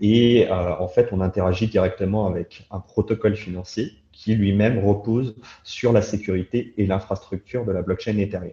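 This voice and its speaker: A man speaks at a moderate pace in a fairly low pitch, with fairly even intonation, a somewhat breathy, dark, mellow tone and a quiet background. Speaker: crypto industry professional. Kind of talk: interview.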